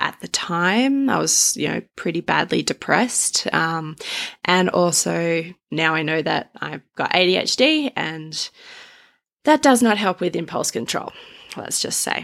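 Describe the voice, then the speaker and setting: Speaking at a fairly slow pace with lively intonation, a woman has a fairly low pitch and an Australian accent. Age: 30s. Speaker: podcast host. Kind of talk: personal monologue. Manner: casual.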